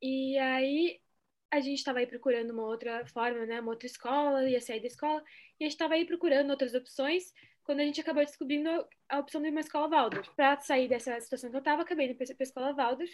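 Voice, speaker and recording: At a very fast pace, a woman speaks with a high pitch and fairly even intonation. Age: 20s. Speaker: geography student, former Waldorf student. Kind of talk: casual chat.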